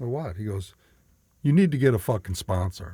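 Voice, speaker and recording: A somewhat breathy man's voice at medium pitch and moderate pace, with very wide pitch swings, on a very clean recording with a silent background. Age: 60s. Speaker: recovering alcoholic sharing his story. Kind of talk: casual conversation, recovery testimony.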